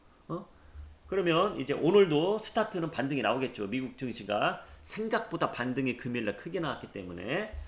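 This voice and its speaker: A man talks with vocal fry at a fairly high pitch. His pitch swings very widely. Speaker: stock market YouTuber. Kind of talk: market commentary. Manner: fast.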